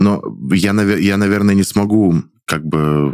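A man with a very deep, low pitch and ordinary pitch variation. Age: 20s. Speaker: stage actor and blogger. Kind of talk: casual chat. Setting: studio.

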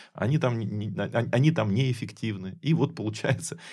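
A man talks at a fairly quick pace with lively intonation and a dark, mellow, somewhat breathy tone. The recording is very clean, with a silent background. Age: 40s. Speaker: food company co-owner and executive. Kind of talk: casual chat.

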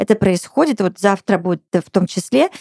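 In a dry, close recording with no echo, a woman speaks at a moderate pace in a dark, mellow voice of medium pitch with ordinary pitch variation. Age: 40s. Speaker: podcast host. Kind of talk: casual chat. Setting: studio. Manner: animated.

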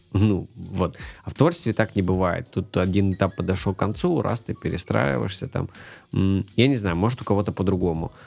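Very deep, low male speech, very cleanly recorded against a silent background. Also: ordinary pitch variation, moderate pace. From Moldova and northern Russia (Noyabrsk). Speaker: animator. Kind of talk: casual chat.

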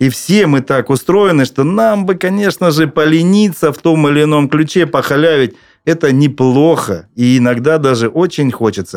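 With a plain, everyday voice, a man talks at a moderate pace and a fairly high pitch, using ordinary pitch variation and very even loudness. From Krasnodar, southern Russia. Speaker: chairman of a parents' public organization. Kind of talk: podcast panel discussion.

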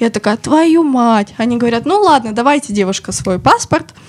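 Speaking at a moderate pace, a woman uses lively intonation at a fairly high pitch. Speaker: media company special projects manager. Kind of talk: casual chat, personal stories. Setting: studio.

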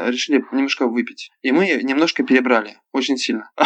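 A man speaks with an ordinary speaking voice at a medium pitch. His pace is fairly quick, with ordinary pitch variation. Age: 20s. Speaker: club show performer and actor. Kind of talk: casual chat. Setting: phone call.

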